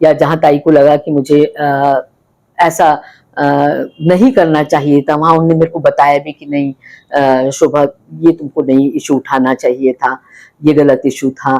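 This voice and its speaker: Her pitch very deep and low, a woman speaks with a dark, mellow tone and monotone, flat intonation. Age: 60s. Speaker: politician. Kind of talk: interview. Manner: hesitant, many fillers.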